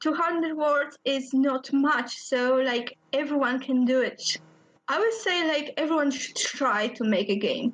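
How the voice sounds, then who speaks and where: A woman in a Polish accent, high in pitch, with lively intonation and very even loudness. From Poland. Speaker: indie game designer. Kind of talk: interview.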